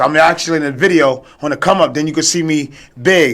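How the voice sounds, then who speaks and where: With a New York accent, a man speaks at a moderate pace and a fairly high pitch, his pitch varying in an ordinary way. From New York, Brooklyn. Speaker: former record promoter, podcast guest. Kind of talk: casual chat. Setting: radio studio.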